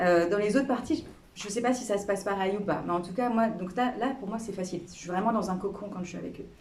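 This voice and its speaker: A woman talks very fast with ordinary pitch variation, and the recording carries noticeable background noise and audible room echo. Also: medium pitch for a woman. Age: 40s. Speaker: member of parliament. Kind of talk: interview with school pupils. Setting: classroom. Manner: hesitant, many fillers; casual.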